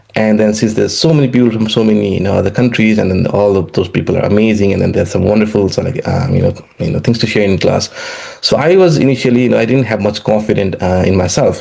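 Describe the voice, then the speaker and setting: With a Nepali accent, a man talks at a very fast pace in a fairly low pitch, keeping very even loudness and ordinary pitch variation over noticeable background noise. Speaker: economics professor. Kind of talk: interview. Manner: halting, many fillers and repetitions.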